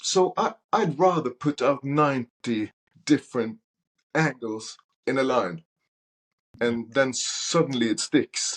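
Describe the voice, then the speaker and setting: With long, frequent pauses, a man speaks at a very slow pace and a fairly high pitch with lively intonation, in a dry, close recording with no echo. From Norway. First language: Norwegian. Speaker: soul singer. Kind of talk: casual interview chat. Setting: podcast interview.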